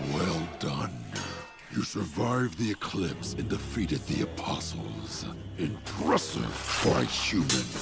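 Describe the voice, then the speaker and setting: Over loud background music, a man does a put-on character voice at a very deep, low pitch and a fairly slow pace. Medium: fan dub. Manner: grave, commanding.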